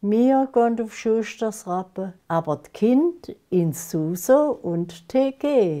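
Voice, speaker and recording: A woman in a Lake Constance accent, dark and mellow in tone, at a very slow pace with very wide pitch swings and big swings in loudness, over a quiet background. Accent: Lake Constance Alemannic German dialect. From Germany, Konstanz on Lake Constance; Germany. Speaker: dialect author; dialect poet. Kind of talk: dialect poetry reading.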